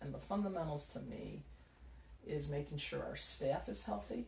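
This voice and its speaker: A man with a Chicago accent, in audible room echo. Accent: Chicago accent, noticeable. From Chicago, South Side. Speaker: nonprofit founder. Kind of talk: interview.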